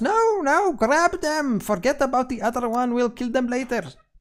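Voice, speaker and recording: A squeaky, put-on character voice, shouting at a moderate pace with lively intonation. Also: man, extremely high pitch for a man. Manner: shouting, urgent and threatening.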